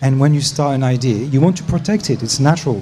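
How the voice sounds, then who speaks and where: Someone with a French accent talks at a fairly quick pace, with audible room echo and music in the background. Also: man. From France. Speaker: startup program leader. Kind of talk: panel discussion.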